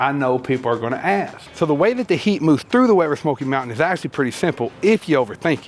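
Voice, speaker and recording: A man talks in a fairly high pitch with very wide swings up and down. Noticeable background noise sits behind him. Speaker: barbecue YouTuber. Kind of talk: comedic self-roast monologue.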